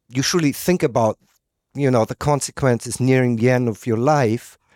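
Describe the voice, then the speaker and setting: A man talks at a moderate pace and a medium pitch. The recording is very clean and dry, close with no echo and a silent background. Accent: German. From Germany. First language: German. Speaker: podcast host and filmmaker. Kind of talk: interview. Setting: home kitchen.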